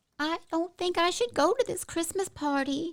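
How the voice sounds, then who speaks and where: A woman's put-on character voice, squeaky and extremely high-pitched, timid in tone, with ordinary pitch variation at a moderate pace. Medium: audio drama. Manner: timid, fretful.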